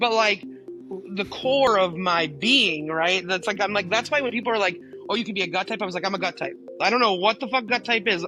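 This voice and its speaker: Music plays behind a woman speaking at a fairly quick pace. Her pitch variation is ordinary. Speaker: podcast guest. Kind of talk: interview answer. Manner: high-energy.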